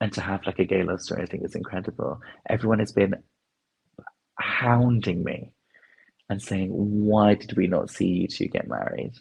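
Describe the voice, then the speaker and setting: Vocal fry marks the voice, which leaves long, frequent pauses. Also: man, fairly low pitch for a man, fairly even intonation, moderate pace. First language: Punjabi. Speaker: actor and dancer. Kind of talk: casual chat.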